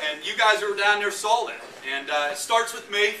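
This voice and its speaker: In a raised, projected voice, a high-pitched man with an American accent is heard with audible room echo and noticeable background noise. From Pennsylvania, Punxsutawney. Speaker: college football head coach. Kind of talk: speech to a crowd. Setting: pub with live audience.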